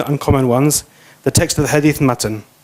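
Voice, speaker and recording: This man has a non-native accent and a fairly high pitch. His intonation is fairly even. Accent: noticeable foreign. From not Malaysian. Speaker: guest lecturer on Islamic law. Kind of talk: lecture. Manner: fast.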